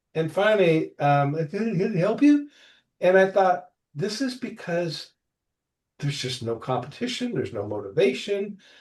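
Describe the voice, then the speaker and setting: Over a quiet background, a man with a high pitch talks at a moderate pace in an animated tone, his pitch swinging very widely. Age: 60s. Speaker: property management veteran. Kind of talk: podcast interview. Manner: animated, with hesitations.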